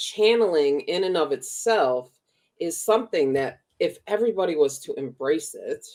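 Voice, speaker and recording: Her Chicago accent is clear as this woman speaks. She talks at a fairly slow pace with lively intonation. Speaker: spiritual teacher and podcast co-host. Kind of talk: casual chat. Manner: animated.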